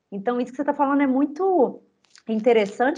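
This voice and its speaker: Speaking at a very fast pace, a woman uses a high-pitched voice. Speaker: podcast host, cultural heritage communicator. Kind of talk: casual interview.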